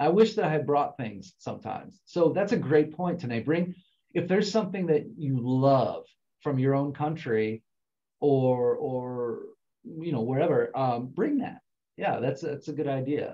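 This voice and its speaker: A man speaks with an American accent at a fairly high pitch. His tone is dark and mellow. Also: lively intonation, moderate pace. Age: 40s. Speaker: international student advisor. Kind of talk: online info session. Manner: casual, conversational.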